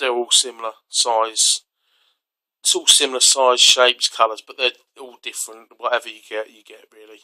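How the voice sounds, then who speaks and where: A man with a British accent speaks at a moderate pace and medium pitch in a bright, sharp tone with monotone, flat intonation. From UK. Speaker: outdoor gear reviewer. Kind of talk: tutorial. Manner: casual, hesitant with fillers.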